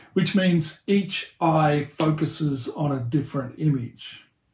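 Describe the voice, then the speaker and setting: This man has a dark, mellow tone and an Australian accent. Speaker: pastor and hobbyist 3D tutorial maker. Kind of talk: tutorial.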